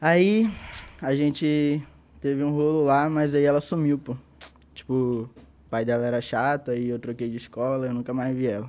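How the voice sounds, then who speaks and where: Fairly high-pitched male voice at a moderate pace, with ordinary pitch variation. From Brazil, Manaus (Amazonas). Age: 20s. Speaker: battle rapper. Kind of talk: casual chat.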